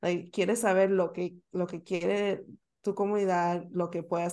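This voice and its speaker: Against a quiet background, a woman speaks at a fairly slow pace in a fairly low pitch. Her tone is dark and mellow, and her intonation stays monotone and flat. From Northern Virginia, US (Bolivian-born). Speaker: travel content creator. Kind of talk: casual interview.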